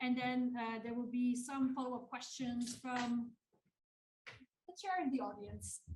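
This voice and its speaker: Loud and high-pitched, a woman speaks at a fairly slow pace with fairly even intonation and long, frequent pauses. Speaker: panel chair. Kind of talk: panel introduction. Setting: conference hall with audience. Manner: hesitant, many fillers.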